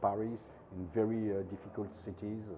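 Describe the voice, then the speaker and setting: With a French accent, a man speaks at a moderate pace in a fairly low pitch. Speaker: documentary filmmaker. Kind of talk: interview. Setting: film festival. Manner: halting.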